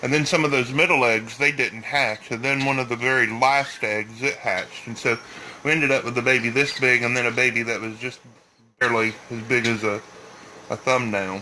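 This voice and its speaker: Speaking at a fairly quick pace with a Southern US accent, a man holds a medium pitch and fairly even intonation over noticeable background noise. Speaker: bird breeder. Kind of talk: tutorial. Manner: halting.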